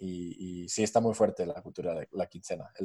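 This man has an English accent and a dark, mellow tone, speaking at a moderate pace with fairly even intonation. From US, New Jersey near New York. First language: English (speaking Spanish). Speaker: fintech startup co-founder. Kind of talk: interview.

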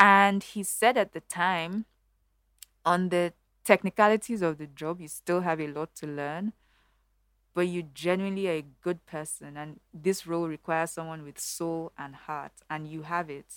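Recorded very cleanly against a silent background, a woman speaks at a moderate pace with a fairly low pitch. Her intonation is fairly even, though her loudness swings widely. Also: dry, close sound with no echo. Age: 30s. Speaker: bank strategy lead. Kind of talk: casual interview chat. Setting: studio. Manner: clear diction.

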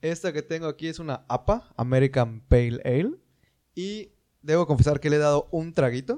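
A man's dark, mellow voice sits at a fairly high pitch with ordinary pitch variation. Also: moderate pace. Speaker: podcast co-host. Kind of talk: casual chat.

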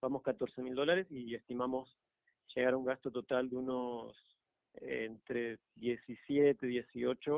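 A man's medium-pitched voice at a very slow pace. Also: fairly even intonation. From Argentina. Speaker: electric car conversion hobbyist. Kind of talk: radio interview.

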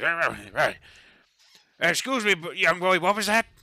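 A man puts on a high-pitched character voice, speaking at a moderate pace. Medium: actual play. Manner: gruff, folksy.

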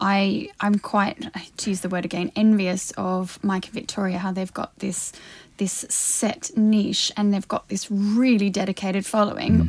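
A woman with a plain, everyday voice speaks at a moderate pace and medium pitch. Her intonation stays fairly even. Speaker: podcast host. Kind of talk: casual chat. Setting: studio.

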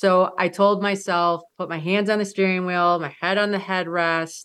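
Monotone, flat delivery at a fairly slow pace in an Upper Midwest accent, on a very clean recording with a silent background. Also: woman. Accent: Upper Midwest American. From Michigan. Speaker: mountaineer. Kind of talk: interview storytelling.

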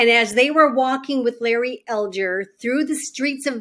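A woman with an American accent, high pitch, ordinary pitch variation and a fairly slow pace. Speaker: former state senator. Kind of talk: interview.

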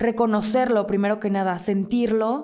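An ordinary speaking voice, a woman's, fairly high in pitch, moves at a moderate pace with ordinary pitch variation. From Mexico, Mazatlán (Sinaloa). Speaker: podcast host. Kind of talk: casual solo monologue, self-help advice.

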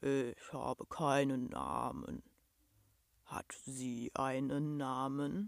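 A man's mumbling, rumbling put-on character voice at a very slow pace and medium pitch. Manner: mumbling, dejected.

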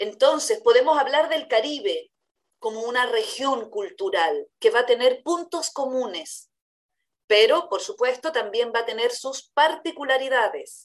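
Very wide pitch swings run through a woman's high-pitched speech. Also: fairly slow pace. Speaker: university professor and radio host. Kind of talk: educational discussion. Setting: virtual recording.

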